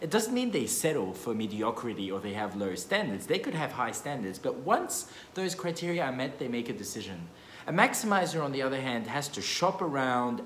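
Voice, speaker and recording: A man's voice carries audible room echo and light background noise. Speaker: economics educator. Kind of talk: casual explainer vlog. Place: meeting room. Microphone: phone near.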